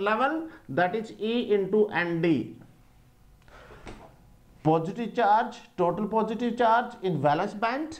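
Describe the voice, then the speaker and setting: Pitched high, a man talks with ordinary pitch variation. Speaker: teacher. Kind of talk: lecture. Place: classroom. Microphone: lapel.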